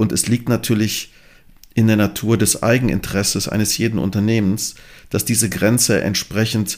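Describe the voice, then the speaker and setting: Speaking fairly slowly, a man uses a fairly low pitch that varies in an ordinary way. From Germany, Bonn (Rhineland). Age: 50s. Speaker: professor and podcast host. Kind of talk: moderated panel discussion. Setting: studio, partly remote panel.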